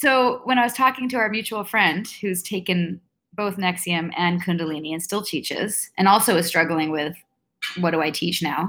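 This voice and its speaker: A woman with a western Canadian accent speaks at a moderate pace in a medium pitch with ordinary pitch variation. Her tone is bright and sharp on a very clean recording with a silent background. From Vancouver, Canada. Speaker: author and former cult member. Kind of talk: casual interview.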